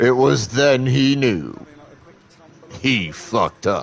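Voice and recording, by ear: Putting on a character voice, a man at medium pitch delivers lines in a dramatic tone at a very slow pace.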